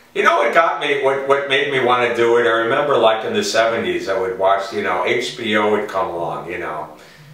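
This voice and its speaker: A man with a New York accent speaks at a fairly quick pace, with hardly any pauses and lively intonation. Background noise is noticeable. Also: medium pitch for a man. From New York City. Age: 60s. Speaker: stand-up comedian. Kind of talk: interview answer.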